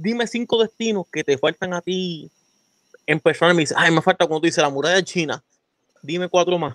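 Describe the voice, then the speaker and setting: A man speaks at a high pitch with ordinary pitch variation. The sound is dry and close, with no echo. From Puerto Rico, Florida municipality. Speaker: podcast host. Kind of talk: casual chat.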